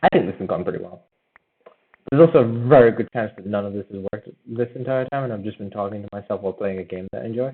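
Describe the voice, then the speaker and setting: A man with a fairly low pitch talks at a very fast pace. His loudness swings widely. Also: ordinary pitch variation. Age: 18. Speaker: gaming streamer. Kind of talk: casual live-stream commentary while gaming. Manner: rambling with many fillers and false starts.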